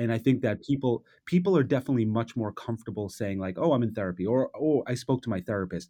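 A man with an American accent speaks very fast in a dark, mellow tone, his pitch rising and falling in an ordinary way. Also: medium pitch for a man. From US, New York City. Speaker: advertising creative director. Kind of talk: interview.

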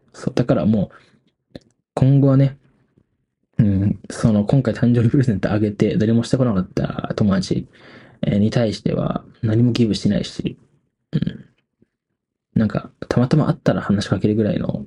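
At a moderate pace and with long, frequent pauses, a man speaks in a relaxed, dark, mellow tone that is somewhat breathy and fairly low in pitch. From Hokkaido, Japan. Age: 20s. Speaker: podcast host, university student. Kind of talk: casual late-night solo talk. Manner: relaxed, filler-heavy.

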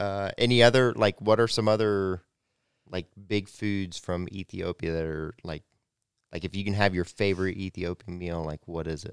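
A man with a very deep, low voice speaks at a moderate pace with fairly even intonation but big swings in loudness, the recording very clean, dry and close with no echo and a silent background. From North America. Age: 20s. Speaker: podcast host. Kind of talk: casual interview.

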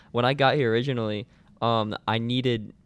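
A man with a plain, everyday voice speaks at a moderate pace and a medium pitch. Intonation stays fairly even on a very clean recording with a silent background. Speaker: podcast host, college runner. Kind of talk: casual podcast chat.

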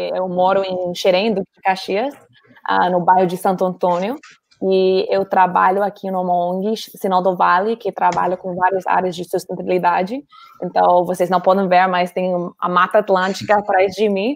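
In an English accent, a woman speaks at a moderate pace and a medium pitch with monotone, flat intonation. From US, Colorado. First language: English (speaking Portuguese). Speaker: NGO worker, guest. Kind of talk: casual interview chat.

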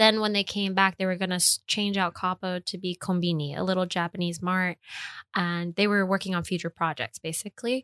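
A woman with an American accent speaks at a fairly quick pace in a plain, everyday voice, medium in pitch with fairly even intonation. The sound is dry and close, with no echo. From US Northeast, New York City (Queens, East Harlem). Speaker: chef. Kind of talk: casual chat.

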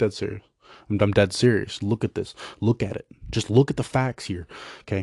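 A man with a fairly low pitch speaks at a fairly quick pace in an American accent, somewhat breathy. Long, frequent pauses break up his speech, and the sound is dry and close with no echo. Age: 20s. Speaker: podcast host. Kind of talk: casual monologue. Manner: halting.

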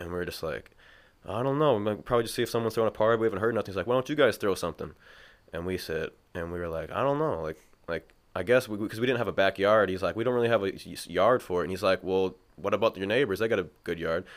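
Over a silent background in a very clean recording, a man with an American accent talks very fast at a fairly low pitch with ordinary pitch variation. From Minnesota, Mankato. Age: 20s. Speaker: founder of a local rap media channel. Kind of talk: casual chat.

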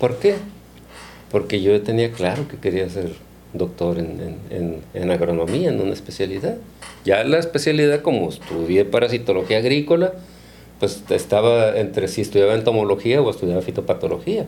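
Using a plain, everyday voice, a man with fairly low pitch speaks at a moderate pace with lively intonation. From Mexico, Culiacán, Sinaloa. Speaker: agronomy professor and researcher. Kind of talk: interview.

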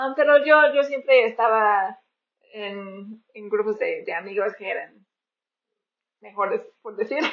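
A woman talks at a very slow pace, her loudness swinging widely. She leaves long pauses, and often. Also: fairly high pitch for a woman, ordinary pitch variation. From rural northern US. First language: English (speaking Spanish). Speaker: missionary podcaster. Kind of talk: casual chat. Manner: halting.

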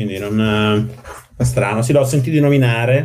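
Dark, mellow tone from a man with fairly low pitch, ordinary pitch variation and a moderate pace. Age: 40s. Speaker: software engineer. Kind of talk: casual chat.

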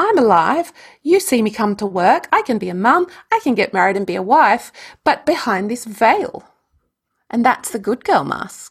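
A woman with an Australian accent, fairly high in pitch, with very wide pitch swings at a moderate pace. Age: 50s. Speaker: energy healer and yoga teacher. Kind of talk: interview conversation.

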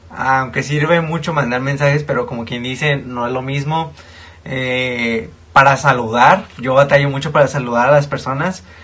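A man at medium pitch with fairly even intonation and a moderate pace, against noticeable background noise. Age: 20s. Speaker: podcast co-host. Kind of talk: casual chat.

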